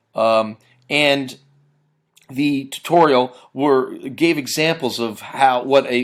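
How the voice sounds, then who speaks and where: Very clean recording, silent background. A man speaks at a medium pitch with ordinary pitch variation. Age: 40s. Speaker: high school teacher. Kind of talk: customer testimonial. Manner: halting, many fillers.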